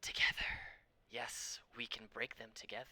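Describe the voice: A man whispers in a put-on character voice with hissing, at a moderate pace.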